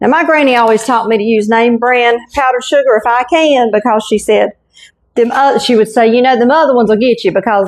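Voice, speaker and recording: A woman's fairly high voice with a Southern US accent, at a fairly quick pace and with ordinary pitch variation. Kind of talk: casual cooking talk to camera. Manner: folksy, warm.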